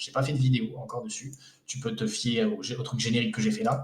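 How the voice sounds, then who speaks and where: A man's medium-pitched voice, showing ordinary pitch variation, moves along at a fairly quick pace. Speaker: investment coach and video creator. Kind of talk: casual tutorial. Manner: fast; hesitant, many fillers.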